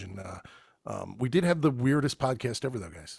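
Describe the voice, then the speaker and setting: A man talks at medium pitch with lively intonation. Vocal fry runs through his voice. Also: very clean recording, silent background. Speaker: voice actor. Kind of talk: casual chat. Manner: halting.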